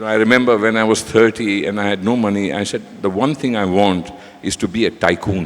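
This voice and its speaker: Very fast male speech, fairly low in pitch, with fairly even intonation and noticeable background noise. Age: 60s. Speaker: business leader. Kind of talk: panel talk.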